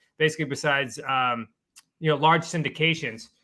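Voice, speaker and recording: Talking at a fairly quick pace, a man with a fairly high pitch speaks in a New England accent. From Massachusetts, New England. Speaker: real estate investor and coach. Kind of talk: interview.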